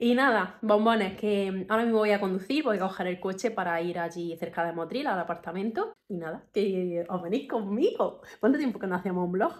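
Faint music plays behind a woman who talks at a fairly quick pace with hardly any pauses and ordinary pitch variation. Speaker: vlogger. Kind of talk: casual vlog talk to camera. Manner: speaking very quietly. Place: home room. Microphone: phone near.

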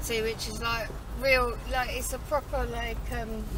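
The clip has a dry sound with no echo and noticeable background noise. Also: woman. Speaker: vlogger. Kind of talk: casual vlog chat. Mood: light joking. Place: car. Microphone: camera far.

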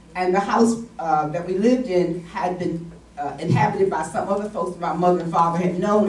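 A woman with an American accent at a moderate pace, ordinary pitch variation and audible room echo. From West Virginia. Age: 80s+. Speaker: retired teacher and panelist. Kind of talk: panel discussion, personal recollection. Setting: stage with audience, microphone. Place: meeting room.

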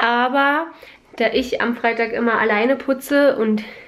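A woman's voice with fairly even intonation. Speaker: lifestyle vlogger. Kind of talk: casual vlog chat. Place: home room. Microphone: phone near.

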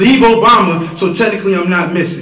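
With audible room echo and light background noise, a man speaks at a fairly quick pace in a high pitch with ordinary pitch variation. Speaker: slam poet. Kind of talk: slam poetry performance. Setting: live event. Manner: forceful, rhythmic. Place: hall. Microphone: camera far.

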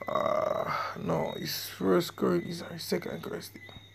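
A man's fairly slow speech is heard through noticeable background noise. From Jamaica. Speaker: religious online teacher. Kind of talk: religious lesson video.

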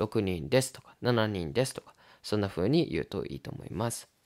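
Recorded very cleanly against a silent background, with a dry, close sound and no echo, a medium-pitched man talks at a moderate pace with very wide pitch swings. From Japan. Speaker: Japanese language teacher. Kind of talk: tutorial.

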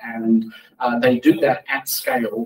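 Speaking slowly at a medium pitch, a man makes big pitch swings, with vocal fry and a slightly husky edge.

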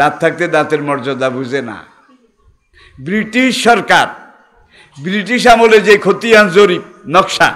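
This man speaks at a high pitch. His intonation is lively. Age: 80s+. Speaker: Islamic preacher. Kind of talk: sermon. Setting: live religious gathering. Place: stage. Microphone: podium.

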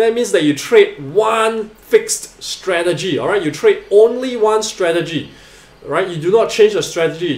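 Ordinary pitch variation in a man's voice, plus audible room echo. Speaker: trading educator. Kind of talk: tutorial.

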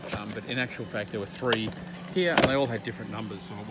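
A man over loud background noise. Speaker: homeowner reviewing locks. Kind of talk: casual vlog commentary. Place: shop. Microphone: phone near.

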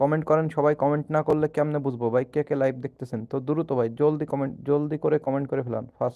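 His tone is dark and mellow, with a fairly high pitch for a man. The intonation stays monotone and flat, and the sound is dry and close with no echo. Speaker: gaming streamer. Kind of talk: casual live stream chat with viewers. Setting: live stream at home with camera.

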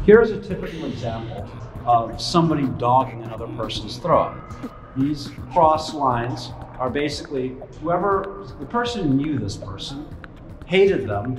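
A man talks at a moderate pace. Faint music plays in the background. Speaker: show host. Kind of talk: commentary. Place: tunnel cave.

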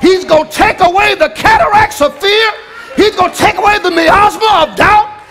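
A man talks in an extremely high pitch with an animated tone and ordinary pitch variation. His moderate pace plays over noticeable background noise. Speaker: preacher. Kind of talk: sermon. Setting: church. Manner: animated, rousing call-and-response preaching; rhetorical, building in rhythmic repetition. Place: church. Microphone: headset.

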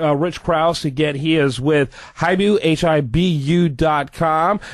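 This is a man with a normal speaking voice, fairly high in pitch. His pitch varies in an ordinary way over a quiet background. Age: 50s. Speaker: radio business show host. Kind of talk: interview.

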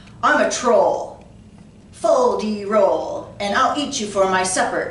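In a put-on character voice, a female-sounding voice speaks high in pitch at a fairly slow pace, with slight echo. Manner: bellowing, menacing.

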